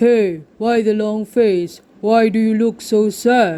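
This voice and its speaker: The put-on character voice is fairly high in pitch and delivered at a fairly slow pace. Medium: read story. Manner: warm, advising.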